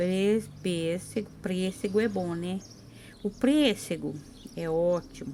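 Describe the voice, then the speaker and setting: A soft-spoken woman at a very slow pace, medium pitch and ordinary pitch variation, with a dark, mellow tone and long, frequent pauses. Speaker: craft painting teacher. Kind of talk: tutorial.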